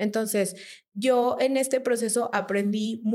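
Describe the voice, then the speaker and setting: At a very slow pace, a woman speaks at a fairly high pitch with fairly even intonation. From Mexico, Durango. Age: 30s. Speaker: church member sharing testimony. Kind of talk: testimony.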